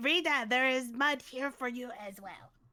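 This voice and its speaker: A high, female-sounding put-on character voice at a moderate pace. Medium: actual play. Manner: broken grammar, talks about self in third person.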